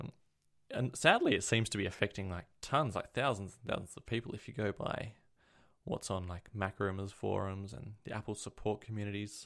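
A man with an Australian accent talks at a fairly quick pace and fairly low pitch, with ordinary pitch variation. His loudness swings widely. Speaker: podcast co-host, tech enthusiast. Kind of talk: casual chat. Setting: remote call.

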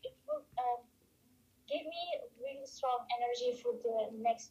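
A dark, mellow tone comes at a fairly slow pace with fairly even intonation and big swings in loudness. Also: woman. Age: 20s. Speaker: legal advisor. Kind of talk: testimony. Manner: halting.

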